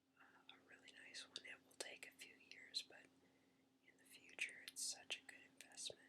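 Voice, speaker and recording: Whispering at a moderate pace. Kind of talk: whispered casual talk to camera. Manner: whispered, soft-spoken.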